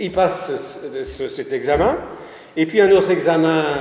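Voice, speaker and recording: The speaker talks at a fairly slow pace against noticeable background noise. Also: man. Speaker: local history speaker. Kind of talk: public talk. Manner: halting.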